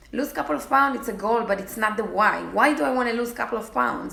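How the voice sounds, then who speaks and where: Amid noticeable background noise and audible room echo, a woman with a non-native accent speaks at a fairly high pitch with ordinary pitch variation. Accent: foreign. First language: not English. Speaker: fitness challenge group coach. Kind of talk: casual vlog talk to followers. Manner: halting, with many fillers.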